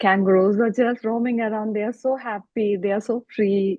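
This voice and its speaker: At a moderate pace comes a plain, everyday voice. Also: woman. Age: 50s. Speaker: conservation volunteer. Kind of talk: interview answer.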